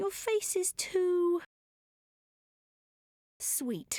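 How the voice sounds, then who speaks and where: In a squeaky, put-on character voice, a woman speaks at an extremely high pitch with very wide pitch swings, recorded dry and close with no echo. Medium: video game. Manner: composed, wry.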